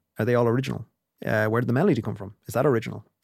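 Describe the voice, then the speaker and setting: A man with an Irish Midlands accent talks at a very fast pace. His pitch is medium, with vocal fry. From Ireland, County Longford. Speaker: music industry lecturer and consultant. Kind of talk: interview.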